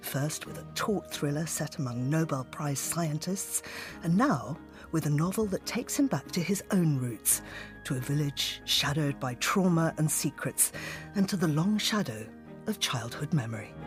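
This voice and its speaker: There is music in the background. A woman with a very deep, low pitch speaks at a moderate pace. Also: lively intonation. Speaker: radio host. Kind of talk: radio show intro.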